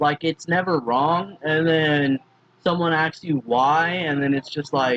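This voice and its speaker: Recorded dry and close with no echo, a man talks fairly slowly at a fairly high pitch with fairly even intonation. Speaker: YouTuber explaining logical fallacies. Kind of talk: casual tutorial. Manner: halting, many fillers.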